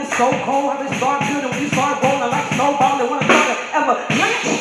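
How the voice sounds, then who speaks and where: A man speaks with music playing in the background. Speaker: spoken word poet. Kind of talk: spoken word performance.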